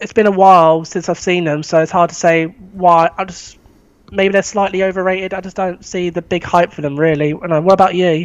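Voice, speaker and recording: A man with a southern English accent talks at a fairly quick pace. His pitch is high and his intonation monotone and flat. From England, East Sussex. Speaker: film fan. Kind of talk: casual chat. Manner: halting.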